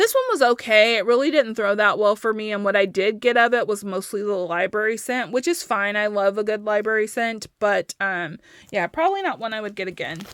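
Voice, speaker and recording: An ordinary speaking voice from a woman, fairly high in pitch with ordinary pitch variation, at a fairly quick pace with hardly any pauses, on a very clean recording with a silent background. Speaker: wax melt reviewer. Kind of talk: casual product review.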